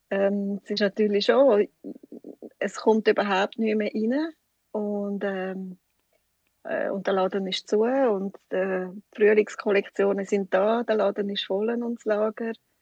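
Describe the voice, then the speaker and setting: The voice proceeds at a very slow pace with fairly even intonation. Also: woman, medium pitch for a woman, dry, close sound with no echo. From Switzerland, canton Schwyz (Wollerau). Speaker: shop owner. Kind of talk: interview. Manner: hesitant, many fillers.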